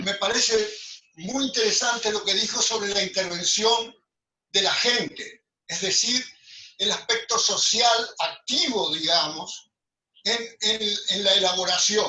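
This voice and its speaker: Raising and projecting his high voice, a man speaks at a very slow pace. His pitch varies in an ordinary way. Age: 80s+. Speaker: architect. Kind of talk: group discussion. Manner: halting, many repetitions.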